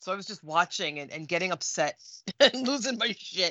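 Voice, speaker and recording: Lively intonation marks a woman's normal speaking voice at medium pitch. She talks at a fairly quick pace. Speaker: co-host. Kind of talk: casual chat.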